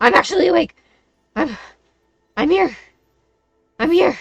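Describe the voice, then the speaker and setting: A female-sounding, put-on character voice, high and squeaky. The pace is moderate. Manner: startled, jolted awake.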